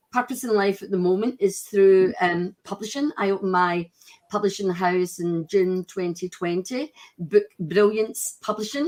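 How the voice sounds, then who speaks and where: A woman's fairly slow, medium-pitched speech with a Scottish accent. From Scotland. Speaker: book publisher. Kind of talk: panel introduction.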